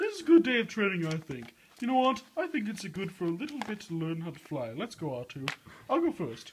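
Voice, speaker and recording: The put-on character voice rests at a middle pitch, swings very widely up and down, and moves at a fairly quick pace. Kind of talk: comic overacting. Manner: fussy, dramatic, complaining.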